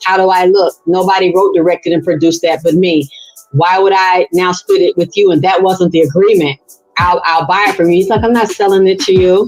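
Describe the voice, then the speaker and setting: With music playing behind it, this animated voice moves at a fairly quick pace and keeps its loudness very even. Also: woman, medium pitch for a woman. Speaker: interview guest. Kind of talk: testimony.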